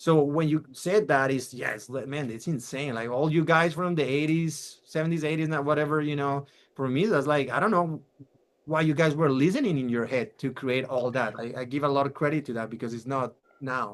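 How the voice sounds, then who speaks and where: With a plain, everyday voice, a man talks at a fairly quick pace, his fairly high pitch showing ordinary pitch variation. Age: 40s. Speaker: podcast host. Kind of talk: casual interview.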